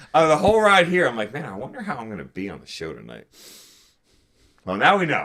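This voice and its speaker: This man talks at a very fast pace in a fairly high pitch, with very wide pitch swings, big swings in loudness, and long, frequent pauses. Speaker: sports podcast co-host. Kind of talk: casual chat. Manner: animated.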